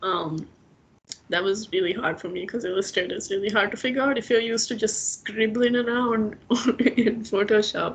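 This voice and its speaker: Over noticeable background noise, a woman speaks at a fairly high pitch and a moderate pace, her intonation fairly even. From Maldives. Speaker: illustrator. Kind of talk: casual chat.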